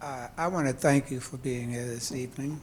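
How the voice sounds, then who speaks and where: A man with an American accent speaks at a moderate pace and a medium pitch, his intonation fairly even. His voice is somewhat breathy, with audible room echo. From New York City (Harlem). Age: 70s. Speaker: audience member. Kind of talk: audience question. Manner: halting. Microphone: held too far from mic.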